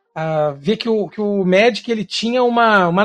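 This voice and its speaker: A man's high voice at a fairly slow pace, ordinary pitch variation, dry and close with no echo, music playing behind. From Brazil, Rio de Janeiro. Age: 30s. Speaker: Magic card game streamer. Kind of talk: casual podcast interview.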